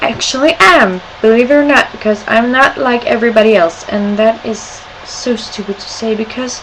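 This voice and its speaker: A woman with a Scandinavian accent speaks at a fairly slow pace in a fairly high pitch, with noticeable background noise behind her. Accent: weird accent, Scandinavian. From Sweden and Denmark. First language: Swedish or Danish. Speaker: video blogger. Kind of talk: casual webcam vlog. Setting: webcam at home. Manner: animated.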